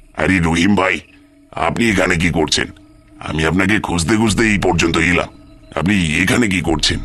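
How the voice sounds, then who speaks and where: A man does a cartoonish character voice with a very deep, low pitch and fairly even intonation. He keeps a moderate pace as faint music plays in the background. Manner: laughing, evasive.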